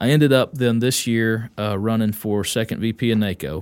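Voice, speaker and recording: A man with a Texan accent speaks at a fairly quick pace with fairly even intonation at a medium pitch. The recording is very clean, with a silent background. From Texas, Wise County. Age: 30s. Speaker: county judge. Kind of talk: casual interview.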